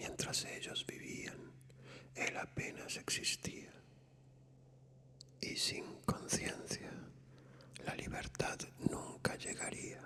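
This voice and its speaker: The speaker whispers very slowly, with long, frequent pauses. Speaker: ASMR narrator, whispered reader of classic literature. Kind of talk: whispered bedtime story reading. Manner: whispered, soft, relaxing.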